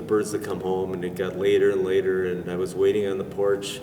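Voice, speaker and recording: Monotone, flat intonation in an American accent, over noticeable background noise. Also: man. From US Midwest, Racine, Wisconsin. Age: 70s. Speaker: pigeon racer. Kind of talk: interview storytelling. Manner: halting.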